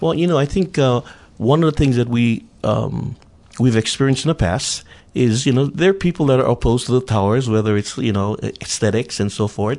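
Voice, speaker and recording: Speaking at a fairly quick pace in a Hawaiian accent, a man keeps a medium pitch, lively intonation and very even loudness. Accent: Hawaii local English. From Hawaii, Big Island (Honoka'a plantation camp). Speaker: council candidate and former politician. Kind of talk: radio interview.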